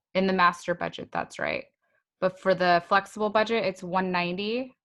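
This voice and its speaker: In a quiet background, a woman speaks at a medium pitch with monotone, flat intonation. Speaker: accounting professor. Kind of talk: lecture. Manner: slow.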